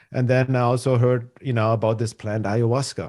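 With a German accent, a man talks at a medium pitch against a quiet background. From Germany, Munich. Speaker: spiritual teacher and healer. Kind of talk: casual conversational interview.

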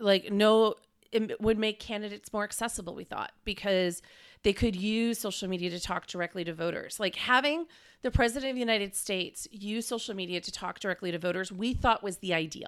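A woman's unremarkable speaking voice, medium in pitch, with an American accent and ordinary pitch variation, on a very clean recording with a silent background. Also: fairly quick pace. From Wisconsin, Green Bay. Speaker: tech policy expert. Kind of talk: interview.

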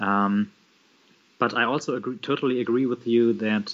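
A man with a German accent and fairly even intonation. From Germany, Bremen (northwest). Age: 30s. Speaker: social worker and communist party member. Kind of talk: casual interview conversation. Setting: remote call. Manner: halting, many fillers.

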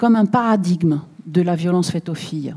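A woman with a dark, mellow tone at medium pitch sounds somewhat breathy and shows ordinary pitch variation. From southern France, Bouches-du-Rhône. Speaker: journalist and author. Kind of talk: public talk with Q&A. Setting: public event with audience.

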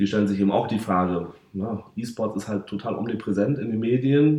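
The tone is dark and mellow. The delivery moves at a fairly quick pace. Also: man. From northern Germany, North Sea coast (Varel). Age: 30s. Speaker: football club sponsorship manager. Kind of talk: podcast interview. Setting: football stadium.

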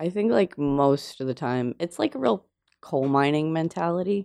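A woman speaks at a moderate pace in an American accent, her very deep, low pitch carrying a dark, mellow tone. Her intonation is lively, and the sound is dry and close with no echo. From New Jersey, then rural Pennsylvania from 13. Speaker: visual artist. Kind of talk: casual chat. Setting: studio.

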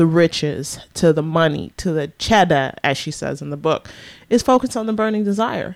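A woman's fairly low-pitched voice with an American accent, a plain, everyday voice, at a moderate pace with ordinary pitch variation. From US West Coast (San Francisco Bay Area). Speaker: radio show co-host. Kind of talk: casual chat.

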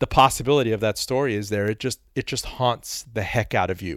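A man with an ordinary speaking voice talks at a fairly quick pace and fairly low pitch, with ordinary pitch variation. The sound is dry and close with no echo, on a very clean recording with a silent background. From Miami, Florida (born in Iran, moved as small child). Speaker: author and radio host. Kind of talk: interview.

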